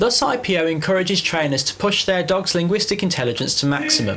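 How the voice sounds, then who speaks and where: Lively intonation marks the fairly quick speech of a man. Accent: English. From England. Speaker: dog trainer. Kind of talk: scripted narration.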